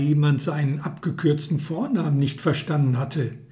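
The speech moves at a moderate pace with audible room echo. Noticeable background noise runs underneath. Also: man. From Hagen, Ruhr area, Germany. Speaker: author and former publisher. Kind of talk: reading aloud.

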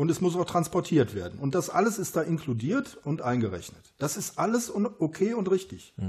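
Speaking at a moderate pace, a man with a high-pitched voice uses lively intonation. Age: 50s. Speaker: runner and self-published author. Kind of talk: casual interview. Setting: at his home after a run.

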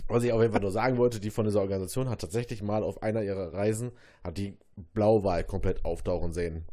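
On a very clean recording with a silent background, a man with fairly low pitch and a dark, mellow tone speaks very fast with fairly even intonation. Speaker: podcast co-host. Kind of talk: casual chat. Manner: loud.

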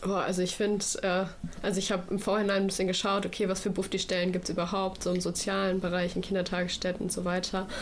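Very fast and flat in intonation, a woman at medium pitch keeps her loudness very even, with audible room echo and noticeable background noise. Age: 20s. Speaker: federal volunteer at a food bank. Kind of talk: radio interview.

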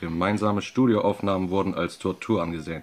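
This is a man with a normal speaking voice. He talks at a fairly quick pace in a fairly low pitch. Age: 30s. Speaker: guest radio presenter. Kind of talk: scripted radio presentation.

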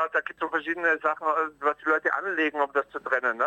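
Bright and sharp in tone, a man rattles along at a very fast pace in a dry, close sound with no echo. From Austria. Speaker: cabaret artist. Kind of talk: interview. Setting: phone call.

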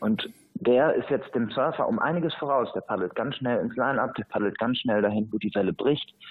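A man talks at a fairly quick pace in a normal speaking voice. His pitch is medium, with ordinary variation. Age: 20s. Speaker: surfing association president and surf instructor trainer. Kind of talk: interview.

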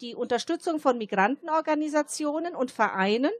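This woman has a high pitch. She speaks at a moderate pace. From Germany. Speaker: choir member and community centre worker. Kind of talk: radio interview. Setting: outdoors at a Christmas market.

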